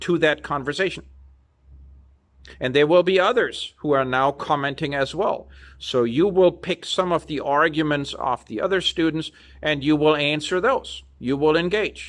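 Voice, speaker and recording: A man speaks at a fairly slow pace with ordinary pitch variation. The recording is very clean, the background silent. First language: not English. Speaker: university lecturer. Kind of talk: lecture.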